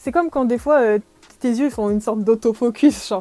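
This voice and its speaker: Dry and close with no echo, the voice carries a dark, mellow tone at a moderate pace with ordinary pitch variation. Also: woman. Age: 20s. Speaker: podcaster. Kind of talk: casual chat. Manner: hesitant, many fillers.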